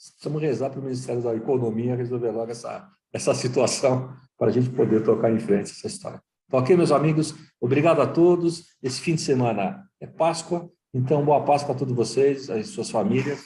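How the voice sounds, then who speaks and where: A man at a medium pitch, with a dark, mellow tone, sounds somewhat breathy and shows ordinary pitch variation. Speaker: talk show host. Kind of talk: panel discussion wrap-up.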